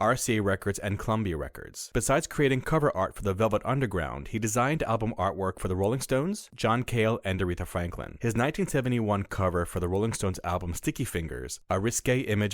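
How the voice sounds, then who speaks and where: Lively intonation marks a man's very fast speech at fairly low pitch. The recording is very clean, with a silent background. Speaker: voice artist. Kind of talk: documentary narration.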